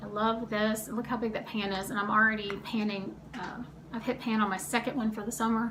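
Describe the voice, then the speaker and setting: Amid audible room echo, a woman speaks in a fairly high pitch with monotone, flat intonation. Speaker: beauty vlogger. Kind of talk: makeup tutorial. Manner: fast; casual chatty.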